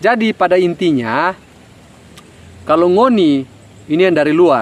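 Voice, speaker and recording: Speaking at a fairly slow pace, a man with a North Maluku accent uses lively intonation and a high pitch. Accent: Ternate Malay dialect. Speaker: job application advice vlogger. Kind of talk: casual talk to camera.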